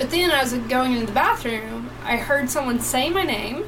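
With noticeable background noise and an audible room echo, a woman speaks at a moderate pace with a high pitch. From East Tennessee (Johnson City). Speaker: podcast co-host. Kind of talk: casual live chat.

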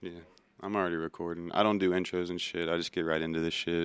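A man's very deep, low voice at a fairly quick pace, monotone and flat, on a very clean recording with a silent background and a dry, close sound with no echo. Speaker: podcast host. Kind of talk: casual, slangy with profanity. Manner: laid-back, conversational.

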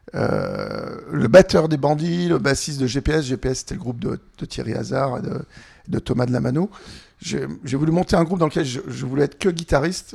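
A man with a fairly high voice and vocal fry speaks at a moderate pace with ordinary pitch variation. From France, Annecy (Haute-Savoie). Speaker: singer-songwriter. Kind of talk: interview.

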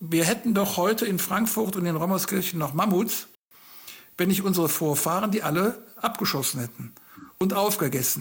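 This man's voice sits high for a man, while its pitch varies in an ordinary way. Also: moderate pace. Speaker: farmer and agricultural engineer, author. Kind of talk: interview. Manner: halting.

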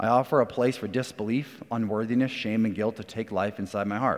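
A man with a normal speaking voice, medium pitch, fairly even intonation and a fairly quick pace. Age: 30s. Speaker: church elder. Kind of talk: sermon.

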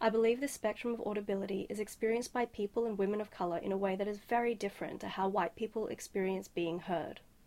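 A woman with an Australian accent talks at a very fast pace with hardly any pauses. Her medium pitch carries fairly even intonation. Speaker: sound artist. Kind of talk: scripted advice message.

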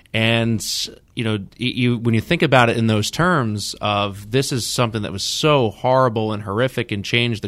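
A man with an American accent speaks at a moderate pace and medium pitch, with ordinary pitch variation. His is an unremarkable speaking voice, captured in a very clean recording with a silent background. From New York area. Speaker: podcast host. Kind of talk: interview.

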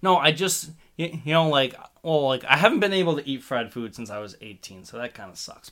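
A man's fairly high, bright, sharp voice with an American accent, fairly quick in pace, with big swings in loudness. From New Jersey. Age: 20s. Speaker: podcast guest, young producer. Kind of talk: casual chat.

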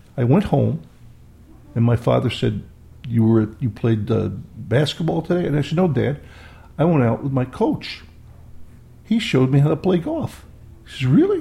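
In an American accent, a man with a dark, mellow tone and vocal fry speaks at a medium pitch and moderate pace, with lively intonation and long, frequent pauses. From Rochester, New York, US. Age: 70s. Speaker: guest, Vietnam veteran. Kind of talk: casual interview storytelling.

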